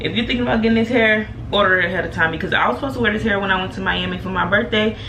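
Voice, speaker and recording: A woman at a fairly high pitch and a very fast pace, with ordinary pitch variation, noticeable background noise and audible room echo. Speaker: beauty YouTuber. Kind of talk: casual vlog talk. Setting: bathroom. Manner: animated.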